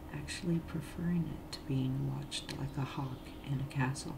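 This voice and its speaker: The speaker is soft-spoken and talks at a fairly slow pace. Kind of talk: read story.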